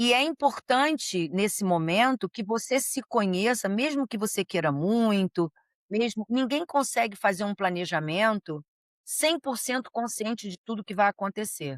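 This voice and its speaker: A woman with an ordinary speaking voice talks fairly slowly at a fairly high pitch with lively intonation, recorded dry and close with no echo against a quiet background. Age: 60s. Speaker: psychologist. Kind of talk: interview.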